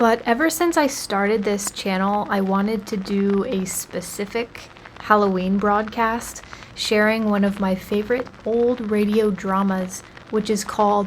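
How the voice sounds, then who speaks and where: Amid noticeable background noise, a woman talks at a fairly slow pace and medium pitch, with fairly even intonation. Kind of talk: casual radio-style show introduction.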